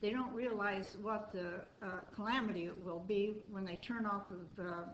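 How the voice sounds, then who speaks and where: Over noticeable background noise and audible room echo, a woman talks at a medium pitch. She has an American accent and fairly even intonation. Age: 70s. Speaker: resident speaking at public meeting. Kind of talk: public comment at city meeting. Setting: city board meeting room.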